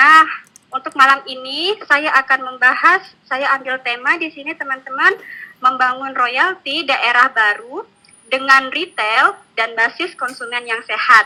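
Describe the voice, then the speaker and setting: Raising and projecting her voice, a woman speaks at a high pitch and fairly slow pace. Her pitch variation is ordinary. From Java, Indonesia (Yogyakarta). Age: 20s. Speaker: network marketing distributor. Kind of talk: online training presentation. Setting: online webinar. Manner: casual, with many fillers.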